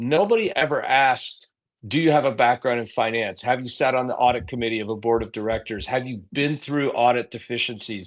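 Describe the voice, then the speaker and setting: In an ordinary speaking voice, a man talks at a fairly quick pace with a medium pitch and ordinary pitch variation. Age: 60s. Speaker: political candidate. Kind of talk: interview.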